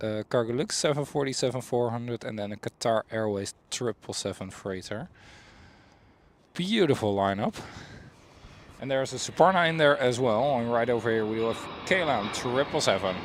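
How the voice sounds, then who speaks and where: At a moderate pace, a man with a Dutch accent speaks in a medium pitch with ordinary pitch variation. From Netherlands. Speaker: planespotting livestreamer. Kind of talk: live commentary. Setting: outdoors by runway.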